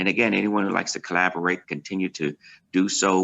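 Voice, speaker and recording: A man's very deep, low voice with vocal fry, a bright, sharp tone, ordinary pitch variation and a fairly quick pace, in a dry, close sound with no echo against a quiet background. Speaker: pastor. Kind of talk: virtual town hall remarks. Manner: fast.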